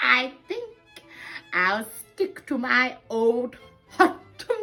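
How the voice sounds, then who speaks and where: A woman uses a put-on character voice, cheerful and high-pitched, with very wide pitch swings. She talks at a very slow pace over faint music in the background. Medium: read story. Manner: cheerful, encouraging.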